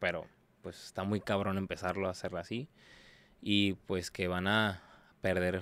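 A man's fairly low voice in a monotone, flat intonation at a moderate pace, with a dry sound and no echo. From Tijuana, Mexico; Mexico. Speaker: exotic dancer; podcast guest. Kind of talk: casual interview chat. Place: studio. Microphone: studio mic.

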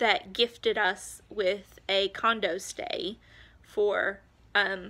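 Her tone bright and sharp, a woman speaks with an American accent. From Montana. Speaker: homeschooling mom vlogger. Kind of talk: casual vlog update. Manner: hesitant, many filler ums. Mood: excited, cheerful. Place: home room. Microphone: phone near.

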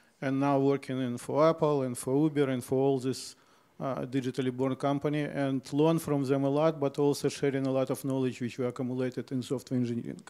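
A man's fairly high voice, dark and mellow in tone, at a fairly quick pace with monotone, flat intonation. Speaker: panelist. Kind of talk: panel presentation with slides. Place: hall. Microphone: handheld.

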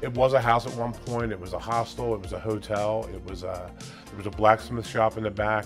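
A man's fairly low voice with fairly even intonation over clear music in the background. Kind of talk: interview answer. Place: cafe. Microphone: lapel.

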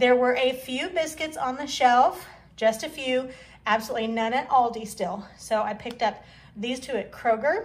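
With ordinary pitch variation, the talking proceeds at a moderate pace. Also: woman. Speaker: home vlogger. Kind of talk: casual vlog chat. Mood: upbeat, thrifty. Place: kitchen. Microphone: phone near.

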